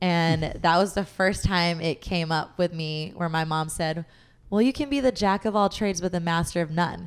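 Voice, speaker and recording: Speaking in a normal speaking voice at a moderate pace, a woman with fairly low pitch shows ordinary pitch variation in a very clean recording with a silent background. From Southern California, Long Beach. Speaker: fitness and nutrition coach. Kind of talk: casual interview chat.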